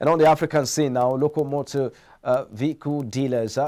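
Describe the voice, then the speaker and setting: A man with a Nigerian accent speaks in a dark, mellow tone. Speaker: business news presenter; news presenter. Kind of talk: newsreading, scripted business bulletin. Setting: studio. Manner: formal, even, brisk newsreader delivery. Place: studio. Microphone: lapel.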